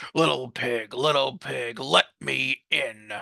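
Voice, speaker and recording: Using a put-on character voice, a man growls in a raspy way at medium pitch and a fairly slow pace. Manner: growling.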